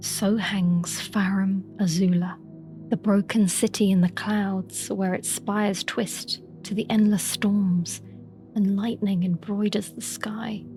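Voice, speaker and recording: With music in the background, a woman speaks at a medium pitch and a very slow pace in a monotone, flat intonation. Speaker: lore narrator. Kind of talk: sleep story. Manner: soft-spoken, slow.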